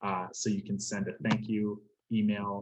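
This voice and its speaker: Using a plain, everyday voice, a man speaks at medium pitch and a moderate pace. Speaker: career specialist. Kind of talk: webinar presentation.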